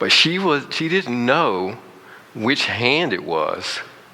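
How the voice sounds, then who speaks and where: In an American accent, the speaker's pitch swings very widely, with audible room echo and noticeable background noise. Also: man. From US South. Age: 50s. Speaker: motivational speaker. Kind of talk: guided meditation. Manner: halting.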